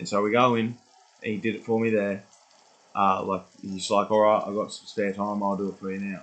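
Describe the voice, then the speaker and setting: In a flat, monotone delivery, a man with a fairly low voice speaks at a fairly quick pace. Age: 20s. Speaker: vlogger. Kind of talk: casual monologue. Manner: rambling, halting.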